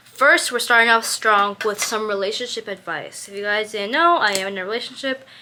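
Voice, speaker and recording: With noticeable background noise, the voice moves at a fairly quick pace with ordinary pitch variation. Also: woman. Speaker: lifestyle vlogger. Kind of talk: casual chat. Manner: fast; chatty, many fillers.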